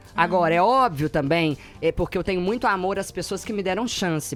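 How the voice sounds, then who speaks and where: In a high pitch, a man speaks with lively intonation at a fairly quick pace. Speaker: teacher. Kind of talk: radio interview. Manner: fast.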